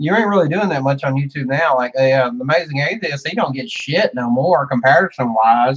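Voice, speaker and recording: Someone with a Southern US accent speaks at a moderate pace with ordinary pitch variation. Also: man. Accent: hillbilly way of talking. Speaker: YouTuber / streamer. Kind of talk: casual chat.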